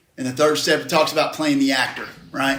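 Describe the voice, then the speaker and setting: Talking at a fairly quick pace with very wide pitch swings, a man is heard with audible room echo. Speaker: recovery speaker. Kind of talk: interactive group talk. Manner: loud; animated. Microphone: far from the recorder.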